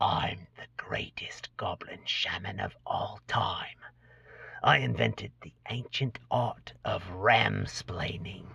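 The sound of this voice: Whispering very slowly, a man does a put-on character voice that is raspy and hissing.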